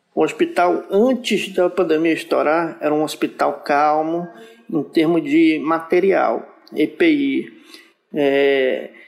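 Very slowly and at a very even loudness, a man speaks. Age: 30s. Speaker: nurse. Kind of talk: interview.

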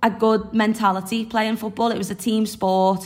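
A woman talks at a fairly quick pace with a Liverpool accent. Her voice is fairly high and somewhat breathy. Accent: Liverpool (Scouse). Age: 20s. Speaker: singer-songwriter and footballer. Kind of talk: casual interview.

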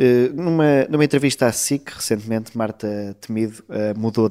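With an unremarkable speaking voice, a man talks at a medium pitch, his intonation fairly even. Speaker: political journalist. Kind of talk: interview.

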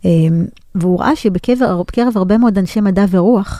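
At a moderate pace, a woman speaks at a medium pitch with lively intonation and a dark, mellow tone. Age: 40s. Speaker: business lecturer and consultant. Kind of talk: interview.

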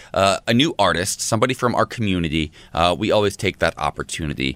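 A man's voice with vocal fry and very wide pitch swings at a fairly quick pace, on a very clean recording with a silent background and a dry, close sound with no echo. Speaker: morning show co-host. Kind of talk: casual chat.

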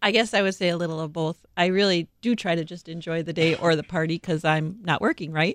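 A woman with a Wisconsin accent, fairly low in pitch, fairly quick and fairly even in intonation, against a quiet background. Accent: Upper Midwest (Wisconsin). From Milwaukee, Wisconsin (South Side). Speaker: interior designer at a remodeling company. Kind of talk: interview. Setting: studio.

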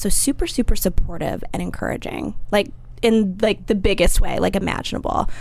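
Fairly quick talking, noticeable noise in the background. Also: woman. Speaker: magazine brand coordinator. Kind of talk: casual chat. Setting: studio.

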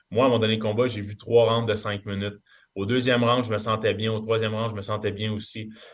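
A man speaks in a flat, monotone way. His pitch is fairly low. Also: fairly quick pace. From Quebec. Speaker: MMA fighter. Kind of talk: interview.

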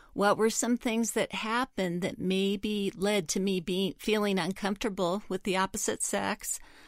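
A woman speaks in a normal speaking voice at a medium pitch, fairly slowly and with fairly even intonation. The recording is very clean and the background silent. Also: dry, close sound with no echo. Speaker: counselor. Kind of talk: advice answer to listener letter.

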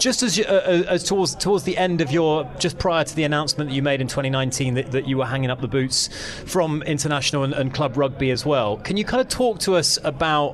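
With noticeable background noise behind him, a man talks at a fairly quick pace with ordinary pitch variation. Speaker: radio host. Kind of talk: casual chat. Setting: studio.

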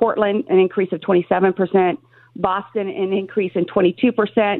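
Here is an unremarkable speaking voice from a woman. Her pitch is medium and her intonation fairly even. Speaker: political candidate. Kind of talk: radio interview. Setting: phone call.

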